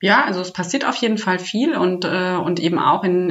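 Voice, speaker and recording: Her voice is an unremarkable speaking voice, fairly low in pitch for a woman, moving at a moderate pace. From Hesse, Germany. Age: 30s. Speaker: startup program manager. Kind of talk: interview.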